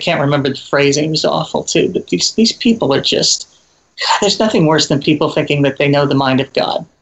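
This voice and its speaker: Fairly high in pitch and somewhat breathy, a man talks at a fairly quick pace. His loudness stays very even, with ordinary pitch variation. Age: 50s. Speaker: comedian and video creator. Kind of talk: interview.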